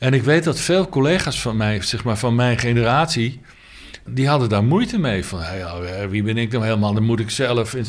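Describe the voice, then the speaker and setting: Amid audible room echo and noticeable background noise, a man speaks at a moderate pace with a medium pitch and lively intonation. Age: 60s. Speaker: jazz saxophonist. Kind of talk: interview. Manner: halting.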